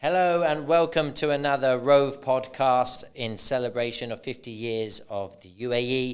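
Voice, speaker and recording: Using an ordinary speaking voice, a man holds a moderate pace and a medium pitch with ordinary pitch variation. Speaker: podcast host. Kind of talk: podcast interview questions.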